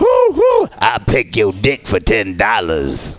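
A man performs a put-on character voice with a raspy sound. He speaks at a very slow pace. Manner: wheedling.

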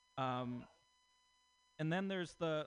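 Lively intonation marks a man's fairly high-pitched voice, an unremarkable speaking voice, delivered at a fairly quick pace. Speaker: comedian. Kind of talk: stand-up.

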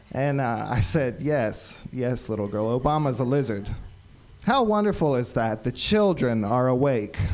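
Audible room echo surrounds the speech. It is a man at a medium pitch. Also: lively intonation, fairly slow pace. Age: 40s. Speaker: comedian. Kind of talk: stand-up. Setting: stage with audience.

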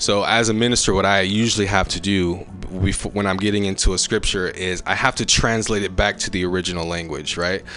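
A plain, everyday voice from a man, fairly low in pitch, fairly quick with hardly any pauses, intonation fairly even. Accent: American. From California Bay Area. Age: 30s. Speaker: comedian and Baptist minister. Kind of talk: casual chat.

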